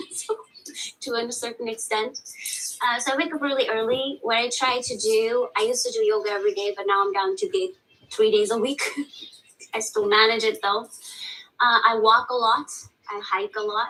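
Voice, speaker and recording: Speaking with a non-native accent, a woman uses a fairly high pitch and ordinary pitch variation, leaving long, frequent pauses. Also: moderate pace. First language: not English. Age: 30s. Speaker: teacher seeking counseling. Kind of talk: counseling session.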